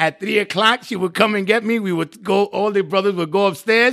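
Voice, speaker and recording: A man with a New York accent, high-pitched with a bright, sharp tone, at a fairly quick pace and with fairly even intonation. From South Bronx, New York City. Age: 50s. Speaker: nonprofit executive. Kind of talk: interview testimony.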